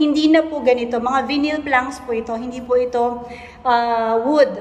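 Audible room echo surrounds a woman speaking at a high pitch.

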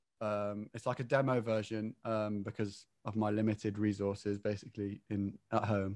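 A man speaks with an English Midlands accent at a moderate pace. His fairly low voice stays monotone and flat, dry with no echo over a quiet background. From English Midlands (near Rugby). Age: 20s. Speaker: singer-songwriter; guest. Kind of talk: casual interview; interview answer. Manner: hesitant, many fillers. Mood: relaxed, friendly. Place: home room. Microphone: video call.

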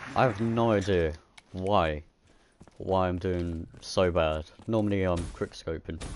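A man with a very deep, low pitch speaks at a fairly slow pace in fairly even intonation, leaving long, frequent pauses. The sound is dry with no echo, over light background noise. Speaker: gaming YouTuber. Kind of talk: casual gameplay livestream chat. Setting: online voice chat while streaming. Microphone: headset.

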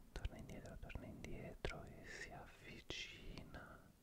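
The man in this clip whispers. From Italy. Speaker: ASMR content creator. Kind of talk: ASMR visual trigger session. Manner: soft-spoken, slow. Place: home room. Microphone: studio mic.

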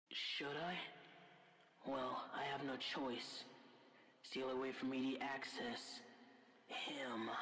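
At a very slow pace and low-to-middle pitch, the voice carries a slight echo over clear background noise. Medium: comedy sketch.

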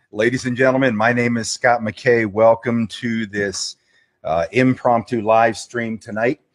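Against a quiet background, a man speaks with a monotone, flat intonation. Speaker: radio host. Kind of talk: live stream monologue; casual live stream commentary. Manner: fast. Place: home room. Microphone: webcam.

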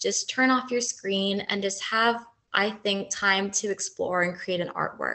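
With a Canadian accent, the speaker goes at a fairly slow pace with lively intonation. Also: woman. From Canada, Toronto. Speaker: university lecturer and artist running a workshop. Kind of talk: interactive workshop presentation.

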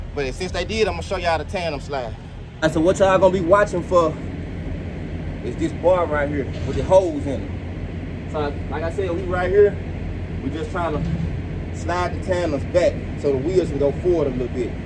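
Noticeable background noise runs under a man who talks at a fairly quick pace. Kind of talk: casual vlog chat. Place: street. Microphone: headset.

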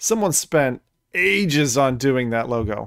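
A man in a dry sound with no echo, against a quiet background. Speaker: streamer reacting to trailers. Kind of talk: casual reaction commentary. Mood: relaxed, sometimes annoyed. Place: home room. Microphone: studio mic.

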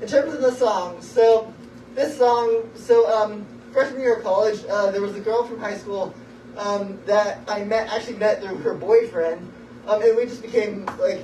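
A man with a high pitch speaks at a moderate pace with fairly even intonation. There is light background noise and audible room echo. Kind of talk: rambling stage banter introducing a song. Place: stage. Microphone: camera far.

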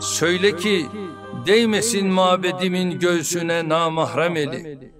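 Over background music, a man with a high pitch talks at a very slow pace. His tone is solemn and dramatic, with ordinary pitch variation. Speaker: head of state reciting a poem. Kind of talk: poetry reading. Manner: slow, solemn, dramatic delivery with pauses.

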